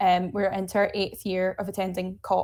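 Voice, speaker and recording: On a very clean recording with a silent background, a woman speaks in a Glaswegian accent at medium pitch and a moderate pace. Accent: Glaswegian Scottish. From Scotland, Glasgow. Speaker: nuclear energy advocate, climate campaign co-lead. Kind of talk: interview. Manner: animated.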